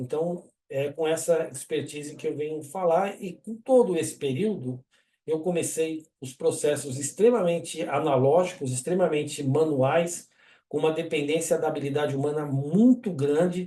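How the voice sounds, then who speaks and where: His pitch is fairly high and varies in an ordinary way. The man has a plain, everyday voice and talks at a moderate pace. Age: 60s. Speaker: engineer and webinar presenter. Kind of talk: webinar presentation. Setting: online webinar. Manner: casual, conversational.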